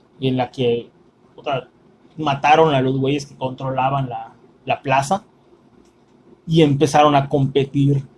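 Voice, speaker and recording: A man with a Mexican accent talks at a fairly slow pace in a fairly high, somewhat breathy voice with monotone, flat intonation. His loudness swings widely, and he leaves long, frequent pauses. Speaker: podcast host, film reviewer. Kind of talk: casual chat; plot summary.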